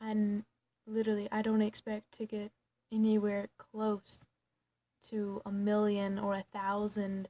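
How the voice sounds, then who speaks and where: A soft-spoken woman with monotone, flat intonation, a fairly slow pace and long, frequent pauses, in dry, close sound with no echo. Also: medium pitch for a woman. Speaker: vlogger. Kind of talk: personal vlog. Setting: at home at night. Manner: halting.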